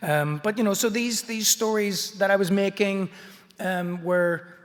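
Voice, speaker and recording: A high-pitched male voice at a fairly slow pace, with ordinary pitch variation. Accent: Belfast. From Northern Ireland, Belfast. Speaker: artist and picture book author. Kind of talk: illustrated talk.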